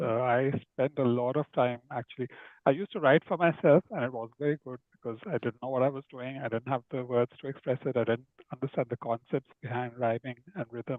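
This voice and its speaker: A man talks at a fairly quick pace with an Indian accent. His medium-pitched voice keeps fairly even intonation. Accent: Indian English (Indo-British). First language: Hindi. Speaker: children's author and illustrator. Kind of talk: casual interview conversation.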